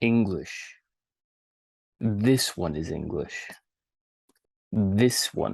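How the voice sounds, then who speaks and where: Delivered at a very slow pace, the speech has long, frequent pauses. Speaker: English teacher. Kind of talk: language lesson for beginners. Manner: slow, repetitive.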